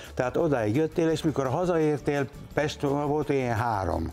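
Faint music sits in the background as a man talks. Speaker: actor guest. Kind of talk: interview answer. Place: studio.

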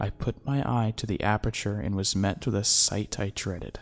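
A natural read-aloud voice with fairly even intonation

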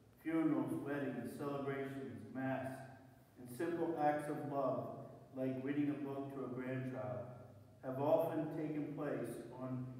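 Strong room echo surrounds monotone, flat delivery at a fairly slow pace with long, frequent pauses. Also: man. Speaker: prayer reader. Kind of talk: read prayer meditation. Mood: solemn, reflective. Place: church. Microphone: camera far.

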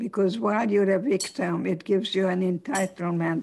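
A woman talks at a medium pitch with vocal fry. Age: 80s+. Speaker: psychologist and author. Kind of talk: talk and interview answer.

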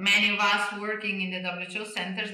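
A woman with an Italian accent talks at a moderate pace and medium pitch. The background is quiet, but there is audible room echo. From Italy. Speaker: neurologist and research director; interviewee. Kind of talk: interview. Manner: animated, moves her hands while talking. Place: home room.

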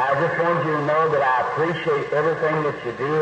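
A man speaks at a moderate pace, with audible room echo and noticeable background noise. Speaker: preacher. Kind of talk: sermon.

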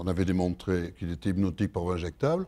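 Man's voice with a dark, mellow tone. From France. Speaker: pharmacology professor. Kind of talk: lecture. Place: hall.

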